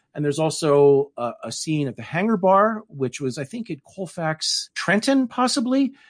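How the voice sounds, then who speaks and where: With a General American accent, a man speaks at a moderate pace in a high pitch with very wide pitch swings, the sound dry and close with no echo. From Denver, Colorado. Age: middle-aged. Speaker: novelist. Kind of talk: interview.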